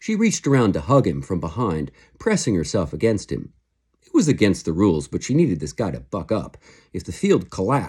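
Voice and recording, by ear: Against quiet surroundings, the text is read aloud in a natural voice.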